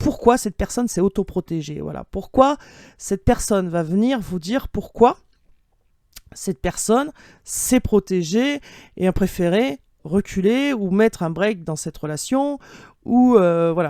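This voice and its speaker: On a very clean recording with a silent background and a dry, close sound with no echo, a woman of medium pitch talks at a fairly slow pace in a dark, mellow tone with lively intonation and long, frequent pauses. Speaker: tarot card reader. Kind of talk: tarot reading. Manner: hesitant, many fillers.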